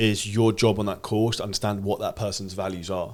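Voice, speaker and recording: A man talks at a fairly low pitch. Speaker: sales coach. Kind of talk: podcast conversation. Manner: fast.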